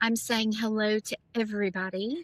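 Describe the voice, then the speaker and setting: A woman with an American accent speaks at a fairly slow pace in a fairly high voice, an unremarkable speaking voice. Her intonation stays fairly even, and the sound is dry and close with no echo. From US South, Nashville. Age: 50s. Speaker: former international model. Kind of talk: casual interview chat.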